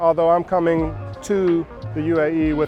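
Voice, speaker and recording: Music sits in the background. A man with an American accent speaks at a fairly high pitch. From Georgia, USA. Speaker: spoken word poet and educator. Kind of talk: interview answer. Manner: casual, reflective.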